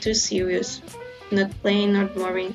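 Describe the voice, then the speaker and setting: A woman speaks with a non-native accent at a moderate pace. Music plays in the background. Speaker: stationery and study notes creator. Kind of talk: casual tutorial voiceover.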